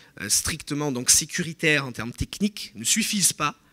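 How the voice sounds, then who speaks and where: A bright, sharp tone marks this voice, delivered at a moderate pace. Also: man. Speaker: political analyst. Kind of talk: conference talk. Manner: halting.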